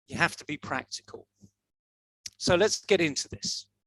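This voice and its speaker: This man talks with a Yorkshire accent and ordinary pitch variation. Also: dry, close sound with no echo. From northern England, Leeds, Yorkshire. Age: 60s. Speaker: motivational speaker. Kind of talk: talk to an online audience. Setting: video call livestream.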